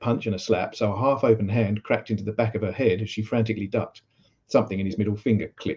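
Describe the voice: Quiet background behind plain reading aloud, its intonation fairly even.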